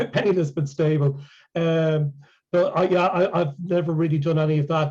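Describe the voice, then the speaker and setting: A dark, mellow tone with an Irish accent. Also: man. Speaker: ALS patient and healing presenter. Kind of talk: Q&A after a presentation. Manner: halting.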